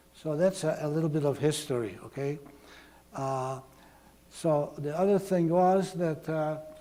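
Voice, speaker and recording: A fairly high-pitched man at a fairly slow pace, with ordinary pitch variation, long frequent pauses and noticeable background noise. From Slovakia, Prešov. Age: 80s+. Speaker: Holocaust survivor speaker. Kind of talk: testimony. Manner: halting.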